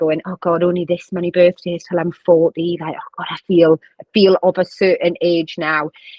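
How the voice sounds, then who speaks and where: A woman with a strong Northeast English accent, medium pitch and a moderate pace. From northern England, County Durham. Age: 30s. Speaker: vice principal and charity runner. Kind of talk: podcast interview.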